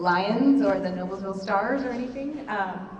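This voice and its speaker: Lively intonation marks a woman speaking at a medium pitch. Noticeable background noise and audible room echo surround her voice. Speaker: volunteer brand designer. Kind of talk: presentation at a parent meeting. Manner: soft-spoken.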